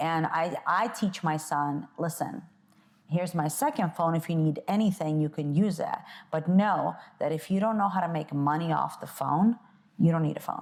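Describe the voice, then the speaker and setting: The recording is very clean, with a silent background. A woman with a fairly low pitch speaks at a moderate pace, her pitch varying in an ordinary way. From Belarus, moved to US at nine. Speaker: entrepreneur and mother. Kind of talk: casual interview conversation. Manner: hesitant, many fillers.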